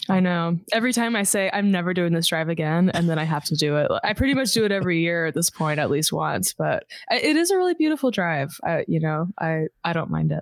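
A woman with an American accent talks at a very fast pace and very even loudness, in a dry, close sound with no echo. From US South, suburbs of Houston, Texas. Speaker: singer. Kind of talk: casual chat.

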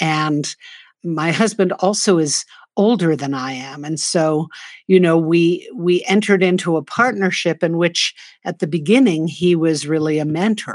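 A woman with an American accent uses an ordinary speaking voice at a fairly low pitch. She keeps a moderate pace with ordinary pitch variation. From US, New York City. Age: 60s. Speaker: nonprofit co-founder and author. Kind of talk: interview.

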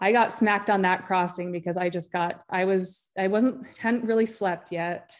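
A woman with an American accent speaks at a medium pitch and a moderate pace, with fairly even intonation. She has an ordinary speaking voice, and the background is quiet. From Utah. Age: 40s. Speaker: author and endurance athlete. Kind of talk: casual interview chat.

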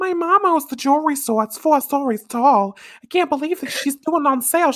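High-pitched and put-on, a character voice in a Brooklyn accent moves at a fairly quick pace. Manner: bad, exaggerated imitation.

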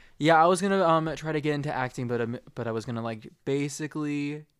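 A man speaks in a plain, everyday voice at a fairly high pitch. His pace is fairly quick, and the recording is very clean with a silent background. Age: 20s. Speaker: aspiring actor. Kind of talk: casual family chat.

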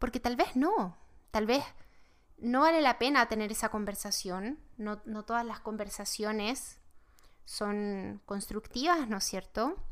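A woman speaks in a normal speaking voice, pitched fairly high. The recording is very clean, with a silent background. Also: ordinary pitch variation, fairly slow pace. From Chile. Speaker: tarot teacher, podcast host. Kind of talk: spiritual teaching monologue.

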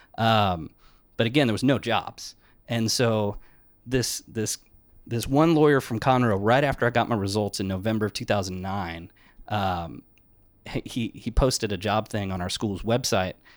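Heard on a very clean recording with a silent background, a normal speaking voice moves at a moderate pace with ordinary pitch variation. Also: man, fairly low pitch for a man. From Texas, San Antonio. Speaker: criminal defense attorney. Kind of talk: casual interview chat.

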